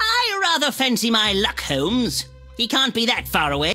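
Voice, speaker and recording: A man does a cartoonish character voice at an extremely high pitch. Music plays clearly in the background. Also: moderate pace. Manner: verbose, genteel.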